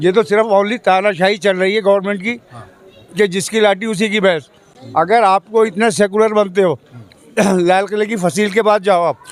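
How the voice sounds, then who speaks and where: Noticeable background noise runs under this clip. A man speaks at a high pitch. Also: fairly even intonation, moderate pace. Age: 60s. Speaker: local resident. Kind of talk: street interview.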